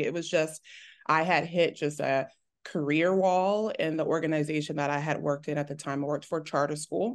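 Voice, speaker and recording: A woman with an American accent speaks at a very deep, low pitch against a quiet background. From Texas. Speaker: teacher. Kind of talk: casual interview chat.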